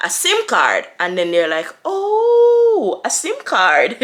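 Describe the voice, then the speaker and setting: Her tone is bright and sharp, and this woman's pitch varies in an ordinary way. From Jamaica. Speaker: international student and video creator. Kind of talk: Q&A monologue to camera.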